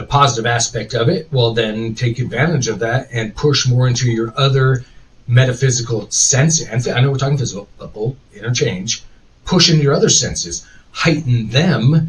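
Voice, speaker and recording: A man talks at a moderate pace in an ordinary speaking voice. His pitch is medium, with ordinary pitch variation. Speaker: podcast host. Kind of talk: live stream chat. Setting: live stream.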